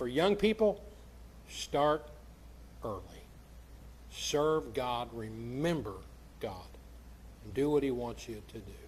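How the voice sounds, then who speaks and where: A very slow delivery in an American accent, with long, frequent pauses, big swings in loudness and audible room echo. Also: man. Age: 60s. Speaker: pastor. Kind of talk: sermon. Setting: church.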